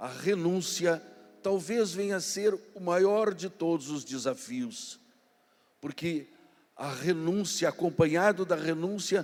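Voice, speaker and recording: Over music in the background, a man speaks at a very slow pace with a high pitch. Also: ordinary pitch variation. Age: 60s. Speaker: guest speaker at a youth congress. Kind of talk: sermon.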